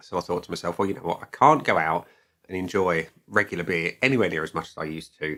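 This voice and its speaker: A man with a southeast English accent, very deep and low in pitch, with ordinary pitch variation, a bright, sharp tone and a very fast pace. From southeast England (Kent, Dartford). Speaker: beer reviewer / video blogger. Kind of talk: casual vlog monologue. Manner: conversational, many fillers.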